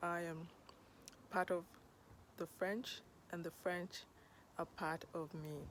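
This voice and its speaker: With a Kenyan accent, a woman speaks at a very slow pace and a fairly low pitch. Her intonation is monotone and flat, broken by long, frequent pauses. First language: Luo. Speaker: podcast host. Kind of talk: personal storytelling monologue.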